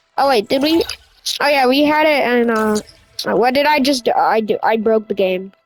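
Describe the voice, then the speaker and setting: A quiet woman speaks at a high pitch with lively intonation. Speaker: gaming youtuber. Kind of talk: gameplay commentary.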